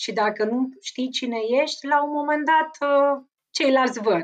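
A woman's high voice at a fairly slow pace, with lively intonation. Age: 30s. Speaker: lawyer. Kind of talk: interview.

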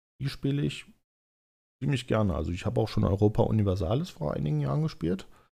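A man's fairly low, dark and mellow voice covers very wide pitch swings. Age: 30s. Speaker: podcaster and gamer. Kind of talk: casual solo monologue. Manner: hesitant, many fillers.

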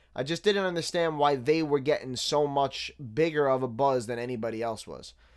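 Heard in a very clean recording with a silent background, a man with a New York accent speaks at a fairly quick pace and fairly high pitch with ordinary pitch variation. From Staten Island, New York City. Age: 30s. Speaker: podcast host reviewing hip hop. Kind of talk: casual solo commentary.

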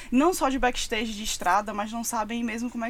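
A woman speaks at a very fast pace in a fairly high pitch. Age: 20s. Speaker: music communications agency partner. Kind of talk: casual chat.

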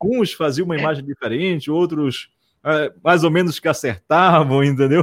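Recorded dry and close with no echo over a silent background, a very clean take, a man uses a normal speaking voice at a fairly high pitch, moving at a moderate pace with ordinary pitch variation. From Amazonas interior, Brazil (Barreirinha). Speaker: radio host. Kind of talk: casual interview chat.

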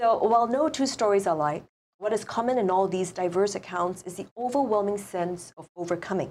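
A woman talks at a fairly quick pace with a Singaporean accent and medium pitch. Her pitch varies in an ordinary way while her loudness swings a lot. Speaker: author and college theater teacher. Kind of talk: interview. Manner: animated.

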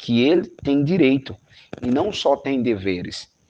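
Against a quiet background, a man with an ordinary speaking voice talks at a fairly slow pace with lively intonation. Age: 20s. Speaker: youth movement coordinator. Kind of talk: interview. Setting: video call.

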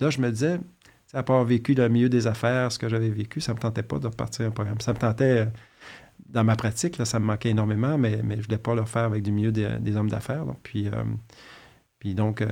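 In a Quebec accent, a man talks at a very fast pace with a medium pitch, a dark, mellow tone and fairly even intonation, on a very clean recording with a silent background. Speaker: fertility doctor. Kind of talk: interview. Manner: halting.

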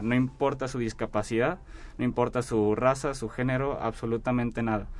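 A normal speaking voice delivers the words at a moderate pace. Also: man. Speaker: engineering student. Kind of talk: radio interview. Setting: radio studio.

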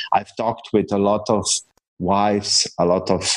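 At a fairly slow pace, a man speaks with a Slovenian accent. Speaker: entrepreneur and coach. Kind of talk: interview.

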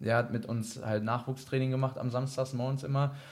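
A man's ordinary speaking voice at medium pitch, with fairly even intonation and a moderate pace. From Germany, Iserlohn (Sauerland, North Rhine-Westphalia). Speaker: ice hockey goalkeeper. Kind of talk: casual interview.

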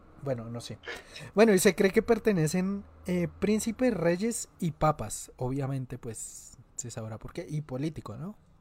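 A man speaks at a fairly slow pace in a somewhat breathy voice, his pitch swinging very widely. The recording is very clean, with a silent background. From Colombia, Antioquia. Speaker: podcast host. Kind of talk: casual chat.

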